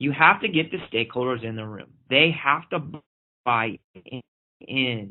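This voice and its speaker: Speaking with an American accent, a man uses a medium pitch and lively intonation, with big swings in loudness. His pace is fairly slow, with long, frequent pauses. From Oklahoma. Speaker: pediatric infectious disease physician. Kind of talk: webinar lecture. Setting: online webinar.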